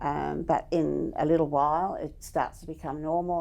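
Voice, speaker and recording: With an Australian accent, a woman talks in a very deep, low voice with a dark, mellow tone and vocal fry over a quiet background. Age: 70s. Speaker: cochlear implant recipient. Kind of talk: testimony.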